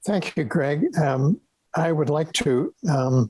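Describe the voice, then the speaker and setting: A man with an American accent speaks in a somewhat breathy voice with ordinary pitch variation, and the sound is dry and close with no echo. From raised abroad (Yukon, Bahrain, Holland, Lebanon), then New York. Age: 80s+. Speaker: retired professor of pathology. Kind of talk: interview conversation. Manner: halting.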